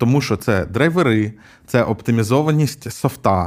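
A man talks at a moderate pace with a medium pitch and lively intonation, in an ordinary speaking voice. The recording is very clean, with a silent background. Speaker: podcast co-host, tech investor. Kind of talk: casual chat.

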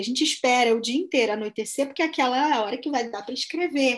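At a very fast pace, a woman speaks in a high voice. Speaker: anthropologist and writer. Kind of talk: casual chat.

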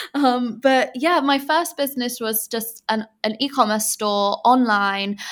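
Speaking with an English accent, a woman uses high pitch with ordinary pitch variation at a fairly slow pace with hardly any pauses, in a very clean recording with a silent background. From England. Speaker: podcast host and online business owner. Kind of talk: interview about her story and business. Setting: Bali, late evening.

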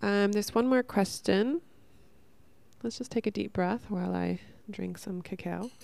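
A woman at medium pitch speaks at a moderate pace with ordinary pitch variation and long, frequent pauses on a very clean recording with a silent background. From Northern California. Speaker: podcast host. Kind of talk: casual monologue. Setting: at home.

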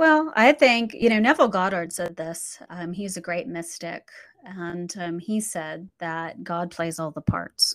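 Pitch varies in an ordinary way as the delivery proceeds fairly slowly. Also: woman, fairly low pitch for a woman. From born in the Philippines, grew up in a US military family. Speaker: author and business owner. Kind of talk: interview.

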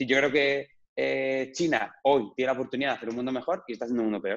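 A man speaks at a very fast pace. His pitch is medium. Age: 30s. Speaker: digital entrepreneur. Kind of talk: interview. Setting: video call.

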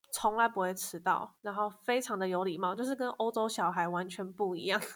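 A woman in a Taiwanese accent talks at a moderate pace with fairly even intonation, in a very clean recording with a silent background. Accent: Taiwanese Mandarin. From Taiwan, Kaohsiung. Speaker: copywriter. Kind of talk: interview.

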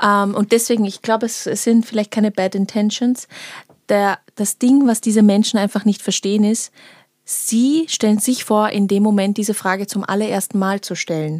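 Speaking in an ordinary speaking voice at a fairly high pitch, a woman keeps a moderate pace and fairly even intonation, recorded very cleanly against a silent background with a dry, close sound and no echo. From Vienna, Austria. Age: 20s. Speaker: political scientist. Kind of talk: casual chat.

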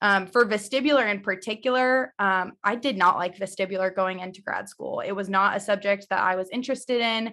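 In a very clean recording with a silent background, a woman of medium pitch talks at a fairly quick pace with hardly any pauses and a bright, sharp tone. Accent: American. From Missouri, US Midwest. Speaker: vestibular audiologist. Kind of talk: casual interview.

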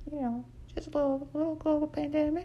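A man with an American accent talks while noticeable noise fills the background. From Nebraska. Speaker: comedy podcaster. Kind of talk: casual comedic monologue. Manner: rambling with frequent fillers.

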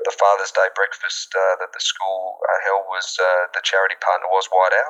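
A man with an Australian accent speaks at a moderate pace over noticeable background noise. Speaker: school alumnus. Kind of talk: interview. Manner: halting.

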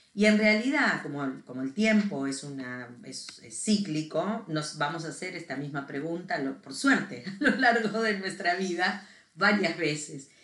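Her fairly low voice swings very widely in pitch and heavily in loudness, at a fairly slow pace. There's audible room echo and noticeable background noise around this woman. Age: 50s. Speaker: podcast co-host. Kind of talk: casual chat.

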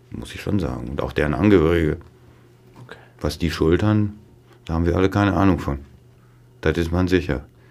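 A man with a very deep, low pitch talks at a fairly quick pace, with ordinary pitch variation, big swings in loudness and long, frequent pauses. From Westphalia, near Dortmund (Ruhr edge). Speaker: neurologist, chief physician. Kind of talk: casual interview.

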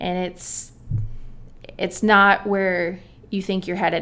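This woman has a plain, everyday voice with an American accent. Her pitch is medium, and she talks at a moderate pace. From California, San Diego. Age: 30s. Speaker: obstacle course athlete. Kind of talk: interview.

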